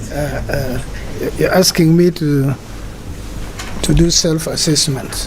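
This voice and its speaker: Very slow speech from a man, with long, frequent pauses and noticeable background noise. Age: 70s. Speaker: retired chief justice. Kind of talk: interview.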